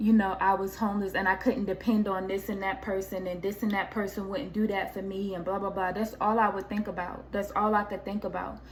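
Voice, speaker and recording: A medium-pitched woman with fairly even intonation, amid noticeable background noise and audible room echo. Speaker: YouTuber sharing faith testimony. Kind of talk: casual vlog testimony. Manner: loud.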